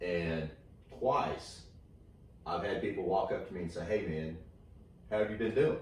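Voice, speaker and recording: A man with an American accent and a very deep, low voice speaks at a moderate pace with ordinary pitch variation and long, frequent pauses. His voice is somewhat breathy, and audible room echo surrounds it. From Texas. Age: 40s. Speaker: comedian. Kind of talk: casual chat. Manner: halting, many fillers.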